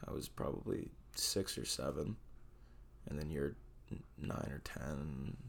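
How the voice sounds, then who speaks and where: The man's voice sits at a very deep, low pitch. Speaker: guest co-host. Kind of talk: casual chat.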